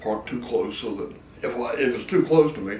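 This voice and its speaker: A man with an American accent speaks at a moderate pace. Audible room echo surrounds his voice. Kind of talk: documentary interview. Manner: halting.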